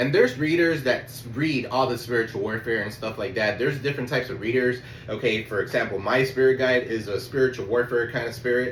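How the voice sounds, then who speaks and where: Talking at a very fast pace with hardly any pauses, a man keeps a fairly even intonation while audible room echo and noticeable background noise fill the recording. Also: medium pitch for a man. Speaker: tarot reader. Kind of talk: tarot reading. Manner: casual, swearing.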